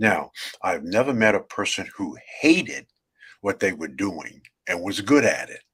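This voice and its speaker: A man with a New York accent talks at a moderate pace. His loudness swings widely, and he takes long, frequent pauses. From New York, Brooklyn. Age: 70s. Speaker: author and networking speaker. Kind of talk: interview. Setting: video call. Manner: halting.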